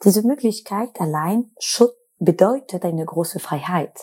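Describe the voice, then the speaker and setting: Speaking at a fairly slow pace, a woman with a French accent has a dark, mellow tone and ordinary pitch variation. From France. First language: French (speaking German). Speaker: podcast host and student researcher. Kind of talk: scripted narration.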